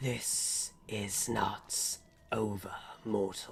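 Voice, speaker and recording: A man puts on a raspy character voice, pitched fairly low. Background noise is clearly audible. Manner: menacing.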